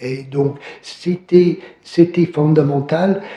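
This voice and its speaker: A man speaks at a very slow pace, his pitch fairly high and his intonation fairly even. Noticeable background noise runs under his voice. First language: English (speaking French). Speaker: professor. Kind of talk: academic Q&A answer. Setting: conference hall, also streamed by video. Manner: halting, many fillers.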